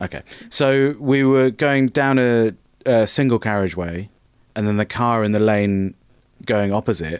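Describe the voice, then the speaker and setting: A normal speaking voice from a man at medium pitch, with ordinary pitch variation and a moderate pace. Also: very clean recording, silent background. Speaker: comedian and actor. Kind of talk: casual chat. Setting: studio.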